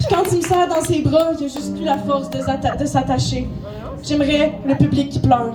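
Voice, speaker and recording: A woman at a moderate pace over music in the background. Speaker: slam poet. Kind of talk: slam poetry performance. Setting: live stage with improvised music.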